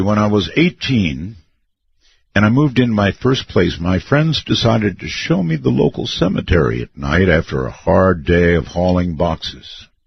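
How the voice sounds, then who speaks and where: A man speaks at a moderate pace in a very deep, low voice that is somewhat breathy. His pitch swings very widely. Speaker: radio talk show host. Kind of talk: reading listener stories on air.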